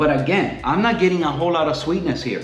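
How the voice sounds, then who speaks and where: A fairly quick pace amid audible room echo and noticeable background noise. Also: man. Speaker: coffee reviewer. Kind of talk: casual product review. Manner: relaxed, conversational.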